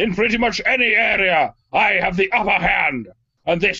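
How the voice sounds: A man puts on a character voice, high-pitched and raised to project. He speaks at a moderate pace.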